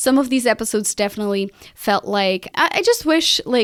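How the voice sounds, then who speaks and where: A woman with a non-native accent and a fairly high pitch, on a very clean recording with a silent background. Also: dry, close sound with no echo. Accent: foreign. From Portugal. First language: Portuguese. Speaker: podcast strategist and host. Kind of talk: solo podcast monologue. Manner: casual, conversational with fillers.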